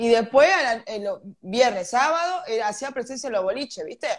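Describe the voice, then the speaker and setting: Against a quiet background, a woman talks at a moderate pace, animated in tone and lively in intonation. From Argentina. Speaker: podcast co-host. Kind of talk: casual chat. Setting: live stream. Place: home room. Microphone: video call.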